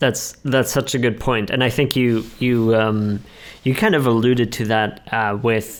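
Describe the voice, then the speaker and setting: A man's medium-pitched, plain, everyday voice at a moderate pace. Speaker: podcast host. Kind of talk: podcast host talk.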